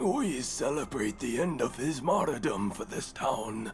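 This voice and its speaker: Putting on a raspy character voice at medium pitch, a man speaks at a moderate pace over clear background noise. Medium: video game. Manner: evasive, terse.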